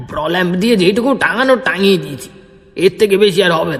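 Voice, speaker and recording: A man puts on a gruff character voice, high in pitch. He keeps a moderate pace. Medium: audio drama. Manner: gruff, scolding.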